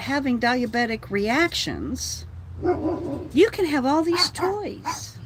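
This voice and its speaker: Over noticeable background noise, a woman speaks very slowly. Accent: American. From Texas. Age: 60s. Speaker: livestreamer. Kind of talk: casual livestream chat. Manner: animated, ranting.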